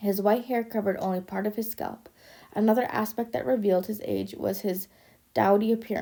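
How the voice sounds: Fairly even intonation in a natural reading voice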